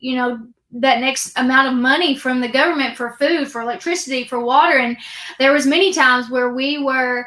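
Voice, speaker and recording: Speaking in a raised, projected voice, a woman with an American accent has a high pitch. She goes at a fairly quick pace with fairly even intonation. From Kentucky, US. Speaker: author and speaker. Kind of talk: interview, personal life story.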